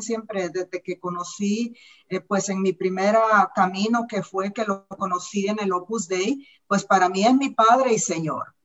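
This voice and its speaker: Medium pitch, a moderate pace and fairly even intonation from a woman with an ordinary speaking voice. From Central America, war-torn country. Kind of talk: panel discussion. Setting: video call.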